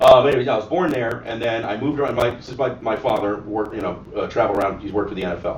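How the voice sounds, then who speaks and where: Speaking very fast with hardly any pauses, a man with an American accent keeps a medium pitch and ordinary pitch variation amid noticeable background noise and audible room echo. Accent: often taken for New York. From South Florida, Ohio mix. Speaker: gun shop and cigar bar owner. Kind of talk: casual chat. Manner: animated.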